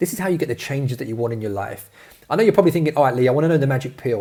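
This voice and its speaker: A man's fairly high voice with a London accent, dark and mellow in tone, somewhat breathy, with lively intonation. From London, England. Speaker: fitness coach. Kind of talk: webinar sales presentation. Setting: online video training. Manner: energetic.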